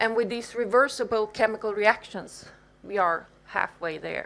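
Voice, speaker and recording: At a fairly slow pace, a woman speaks in a plain, everyday voice at a medium pitch with ordinary pitch variation. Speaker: professor. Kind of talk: lecture.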